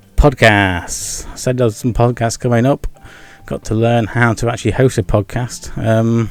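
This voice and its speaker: Over music in the background, a man with an English accent speaks at a medium pitch with fairly even intonation. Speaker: gaming and vlog YouTuber. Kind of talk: casual vlog monologue. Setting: home with video background. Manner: fast; stumbles over words.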